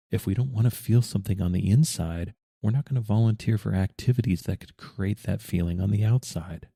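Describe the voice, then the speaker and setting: A man with a fairly low pitch and a dark, mellow tone speaks at a fairly quick pace, somewhat breathy, with ordinary pitch variation. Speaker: podcast host. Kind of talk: podcast monologue.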